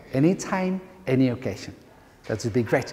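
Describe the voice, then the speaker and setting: A man talks in an Andalusian accent at a moderate pace. His pitch is medium. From Andalusia, Spain (Córdoba). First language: Spanish. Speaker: university lecturer, bilingual education trainer. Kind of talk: workshop talk. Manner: halting.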